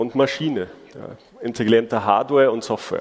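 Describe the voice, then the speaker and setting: At a moderate pace, a man talks in an ordinary speaking voice with medium pitch. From Germany. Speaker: conference speaker. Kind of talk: conference talk.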